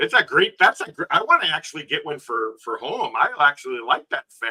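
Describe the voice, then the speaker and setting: A man with a Canadian accent. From Canada. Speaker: peer support group member. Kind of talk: casual chat.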